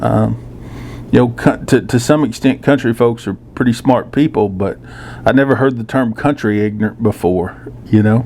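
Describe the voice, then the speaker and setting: Fairly even intonation from a man with a Texan accent, at a moderate pace. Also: medium pitch for a man. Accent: Texan Southern US. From South Texas, rural (Floresville, Corpus Christi). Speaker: journalist and commentator. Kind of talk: casual monologue. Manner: halting, many fillers.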